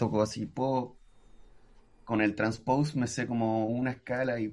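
A man with a Chilean accent. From Chile, Antofagasta. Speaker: musician and music producer. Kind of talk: casual chat.

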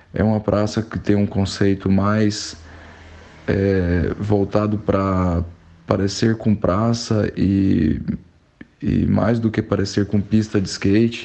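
A man speaks very slowly at a fairly low pitch with monotone, flat intonation. His loudness stays very even. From Brazil, Goiânia. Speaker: civil engineer and former skateboarder. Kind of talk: recorded message interview. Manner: halting.

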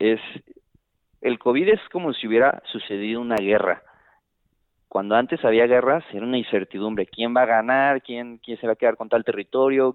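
A man talks at a fairly quick pace at medium pitch. He has a plain, everyday voice. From Guadalajara, Jalisco, Mexico. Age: 20s. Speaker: supply chain worker and amateur investor. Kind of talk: casual chat.

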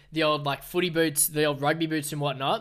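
A man's bright, sharp, fairly high voice at a very fast pace, with an Australian accent, on a very clean recording with a silent background. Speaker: environmental news podcaster. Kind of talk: solo podcast commentary. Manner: casual.

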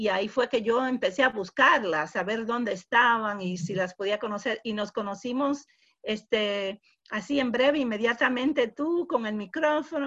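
A woman with an English accent speaks at a moderate pace, her fairly high voice carrying lively intonation. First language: English (speaking Spanish). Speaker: podcast host. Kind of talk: interview.

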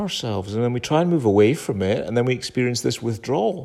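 On a very clean recording with a silent background, a man with an unremarkable speaking voice at medium pitch talks fairly quickly with lively intonation. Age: 50s. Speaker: podcast host, self-help speaker. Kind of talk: solo monologue. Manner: casual.

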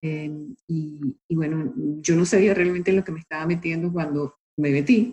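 With a dark, mellow tone and a fairly low pitch, a woman talks at a moderate pace in a somewhat breathy voice, her pitch moving in an ordinary way and her speech broken by long, frequent pauses. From Venezuela. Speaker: marine biologist, novelist and nonprofit founder. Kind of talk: interview.

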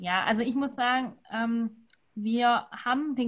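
Here a woman is talking. The pitch of her voice is high. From Württemberg, near Stuttgart. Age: 20s. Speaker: winemaker. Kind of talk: casual online wine tasting talk.

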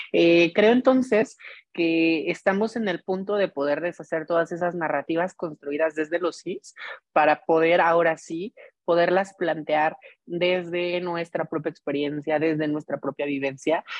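A woman with an unremarkable speaking voice talks at a fairly slow pace and fairly low pitch, with ordinary pitch variation. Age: 30s. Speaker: journalist. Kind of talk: casual chat.

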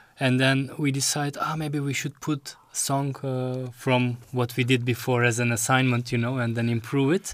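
A man speaks in a Turkish accent at a moderate pace with hardly any pauses. His intonation is monotone and flat. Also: medium pitch for a man. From Istanbul, Turkey. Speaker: electro musician.

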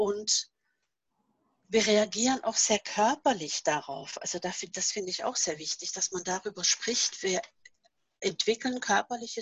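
A woman speaks at a fairly slow pace and fairly high pitch, with very wide pitch swings. Her voice is somewhat breathy, and the sound is dry and close with no echo. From Norway. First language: Norwegian (speaking German). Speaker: author and seminar leader. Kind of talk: casual interview.

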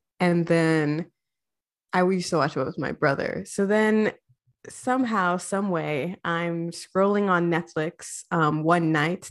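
A woman speaks at a fairly slow pace in an ordinary speaking voice, her fairly low pitch carried by fairly even intonation. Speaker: podcast co-host. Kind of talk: casual chat.

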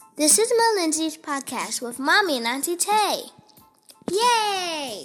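An extremely high-pitched, put-on character voice moves at a fairly slow pace. Faint music plays in the background.

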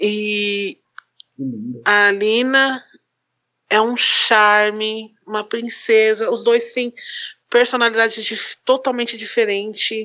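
A woman speaks at a very slow pace, with a fairly high pitch and a flat, monotone delivery. Long pauses break up her speech often. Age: 30s. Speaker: photographer and single mother. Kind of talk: casual chat.

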